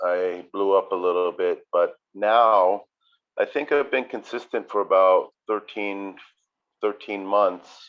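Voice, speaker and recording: The voice moves at a very slow pace. Its pitch variation is ordinary. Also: man, fairly low pitch for a man. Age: 60s. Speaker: chef. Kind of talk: casual chat. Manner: halting.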